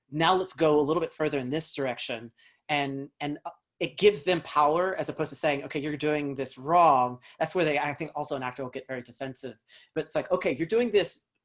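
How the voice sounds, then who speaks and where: The speaker has an American accent and talks at a very fast pace. The recording is very clean, with a silent background. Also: man, fairly high pitch for a man, ordinary pitch variation. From US South, North Carolina. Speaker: actor and dialect coach. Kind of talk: interview. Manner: many fillers and restarts.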